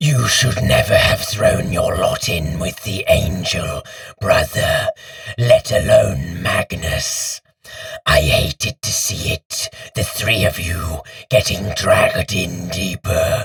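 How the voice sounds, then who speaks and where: A man's put-on character voice, growling and wheezy, at a fairly slow pace. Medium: read story. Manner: surly, contemptuous.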